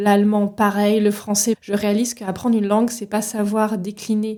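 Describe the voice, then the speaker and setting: A woman at medium pitch speaks at a moderate pace in a dark, mellow tone with monotone, flat intonation. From France, Paris region. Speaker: leadership coach, podcast host. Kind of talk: solo podcast monologue. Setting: solo recording with microphone.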